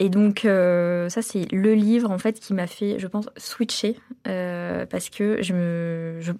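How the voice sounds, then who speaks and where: The delivery is very slow. The tone is dark and mellow. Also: woman. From France, Metz (east) and China. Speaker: entrepreneur, cancer survivor. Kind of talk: testimony. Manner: hesitant, many fillers.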